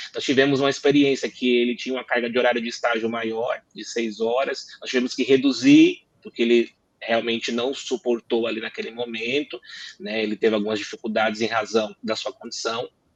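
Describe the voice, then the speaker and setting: Fairly quick male speech at medium pitch, fairly even in intonation, dry and close with no echo. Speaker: lawyer, law firm partner. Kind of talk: panel discussion. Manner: fast.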